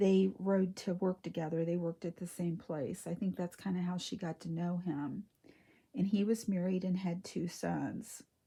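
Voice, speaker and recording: A soft-spoken woman with a dark, mellow, somewhat breathy tone, medium pitch, fairly even intonation and a moderate pace. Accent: American. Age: 60s. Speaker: reborn doll collector / vlogger. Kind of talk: casual chat.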